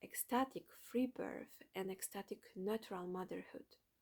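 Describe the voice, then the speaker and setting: This woman has a Polish accent and a medium pitch. Her pitch variation is ordinary. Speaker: doula and motherhood content creator. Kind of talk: reading aloud a written manifesto. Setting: at home at night. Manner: soft-spoken, children sleeping nearby; halting.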